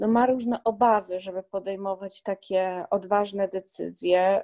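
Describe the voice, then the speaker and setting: A woman speaks at a very slow pace with fairly even intonation and a dark, mellow tone. The sound is dry and close, with no echo. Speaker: podcast host and blogger. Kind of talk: casual interview.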